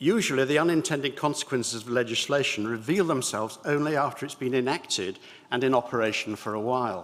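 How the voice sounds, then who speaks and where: A man with an RP accent, very fast delivery and ordinary pitch variation. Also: medium pitch for a man. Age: 70s. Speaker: church lawyer and synod member. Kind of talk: formal debate speech. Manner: formal; hesitant fillers.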